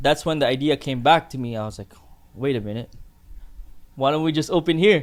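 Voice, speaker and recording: A man talks at a fairly quick pace and a fairly high pitch. His loudness swings widely, broken by long, frequent pauses. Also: ordinary pitch variation. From Philippines, moved to Canada at 11. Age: 20s. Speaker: barbershop owner. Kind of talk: casual chat.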